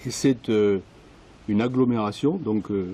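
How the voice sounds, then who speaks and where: A man speaks with a dark, mellow tone. His pitch is medium. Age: 60s. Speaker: village resident interviewee. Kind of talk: interview testimony. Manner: hesitant, many fillers.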